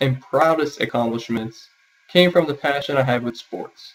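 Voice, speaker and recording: Here is a man with an unremarkable speaking voice. He keeps a moderate pace and lively intonation. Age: 20s. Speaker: university student. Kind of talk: self-interview, prepared answers. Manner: formal.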